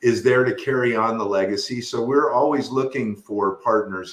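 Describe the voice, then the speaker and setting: The man speaks at a fairly slow pace. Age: 60s. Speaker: mortgage lender. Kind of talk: casual interview. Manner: halting, many fillers.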